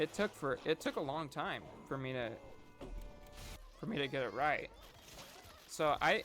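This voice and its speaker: A man's fairly high voice over background music. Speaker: gaming YouTuber. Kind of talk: casual gameplay commentary. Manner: halting, stuttering.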